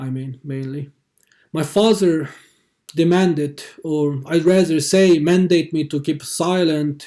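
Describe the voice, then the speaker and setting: A man's fairly high-pitched, dark, mellow voice with a Xinjiang accent, monotone and flat, at a fairly slow pace, on a very clean recording with a silent background. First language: Uyghur. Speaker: activist. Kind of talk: testimony. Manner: halting.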